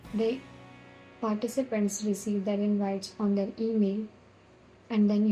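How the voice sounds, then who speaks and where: Somewhat breathy, a woman talks at a medium pitch with monotone, flat intonation and a dark, mellow tone. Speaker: software tutorial creator. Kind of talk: screen-recorded tutorial. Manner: fast.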